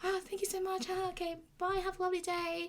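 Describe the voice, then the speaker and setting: In a put-on character voice, the speaker squeaks at an extremely high pitch with monotone, flat intonation and a very fast pace. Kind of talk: customer service. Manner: sweet, overly polite.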